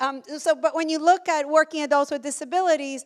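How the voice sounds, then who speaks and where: The recording of this woman is very clean, the background completely silent. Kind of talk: conference presentation. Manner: fast.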